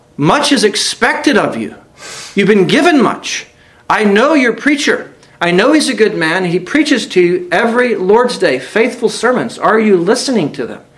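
A man's high-pitched voice at a moderate pace, with audible room echo and noticeable background noise. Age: 30s. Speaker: visiting preacher. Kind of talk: sermon. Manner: halting, frequent word repetitions.

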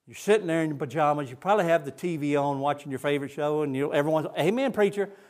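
In a Southern US accent, a man talks at a very fast pace with a fairly high pitch and ordinary pitch variation. The recording is very clean, with a silent background. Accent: Southern US (Georgia). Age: 60s. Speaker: missionary. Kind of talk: sermon. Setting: church.

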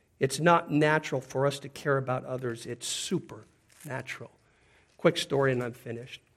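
On a very clean recording with a silent background, a man with an American accent and a normal speaking voice speaks at a fairly high pitch with ordinary pitch variation. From US Pacific Northwest. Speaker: preacher. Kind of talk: sermon.

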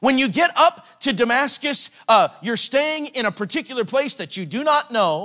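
In a raised, projected voice, a man speaks at an extremely high pitch with a bright, sharp tone and a dry, close sound free of echo. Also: lively intonation, moderate pace, hardly any pauses. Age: 40s. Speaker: evangelist. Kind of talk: sermon.

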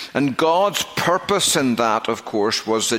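A man speaks at a fairly slow pace in a strong Northern Irish accent. Background noise is noticeable. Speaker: pastor. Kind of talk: sermon. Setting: church.

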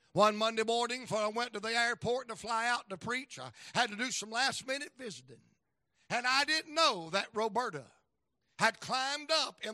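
A man speaks in an extremely high pitch, his voice raised, projected, bright and sharp. The tone is animated, with ordinary pitch variation and a moderate pace. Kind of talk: revival sermon. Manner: animated, exclamatory pulpit delivery with call-and-response; folksy and jokey, mixing humor and anecdotes with exhortation.

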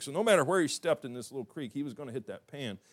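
A man with a Southern US accent is heard in a very clean recording with a silent background. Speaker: pastor. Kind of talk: sermon. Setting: church. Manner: folksy, humorous.

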